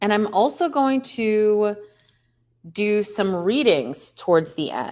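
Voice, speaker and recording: A woman speaks at medium pitch with very wide pitch swings. Her pace is very slow. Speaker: astrologer. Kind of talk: livestream talk. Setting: livestream. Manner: casual, chatty.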